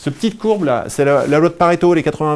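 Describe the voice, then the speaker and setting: Very fast pace from a male speaker. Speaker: speaker giving a talk on burnout. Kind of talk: live talk to an audience. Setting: venue with live audience. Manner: animated.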